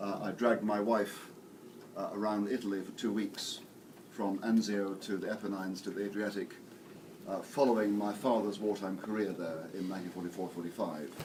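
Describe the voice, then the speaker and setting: In an English accent, a man with a fairly low voice talks at a fairly quick pace with fairly even intonation, and room echo is audible. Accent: English (RP). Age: 60s. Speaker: theology professor and priest. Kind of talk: lecture. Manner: halting, with many fillers and repetitions.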